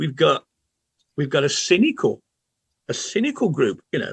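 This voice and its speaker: A man with a Birmingham accent at a moderate pace, the sound dry and close with no echo. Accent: Birmingham (Brummie) English. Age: old. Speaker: football podcast panelist. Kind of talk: casual chat. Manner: halting, repeats words.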